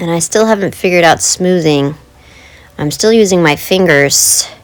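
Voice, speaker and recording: At a moderate pace, a woman with a fairly low pitch speaks over noticeable background noise. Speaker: art channel creator. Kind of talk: craft tutorial voiceover. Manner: casual, chatty. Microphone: poor audio quality.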